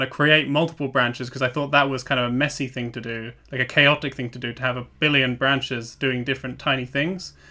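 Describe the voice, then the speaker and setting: A man with a British accent speaks at a medium pitch. His delivery is very fast and monotone, with flat intonation. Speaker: podcast co-host, software developer. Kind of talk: casual chat.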